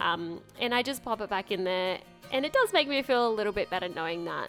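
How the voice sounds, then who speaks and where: With music playing in the background, a woman with an Australian accent speaks in very wide pitch swings. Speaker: lifestyle vlogger. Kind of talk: casual voice-over for a cleaning vlog. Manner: chatty, casual.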